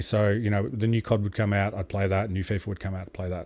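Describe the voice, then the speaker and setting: A man speaks with an Australian accent. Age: 30s. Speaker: streamer and podcast host. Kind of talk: casual interview chat. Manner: rambling, many fillers.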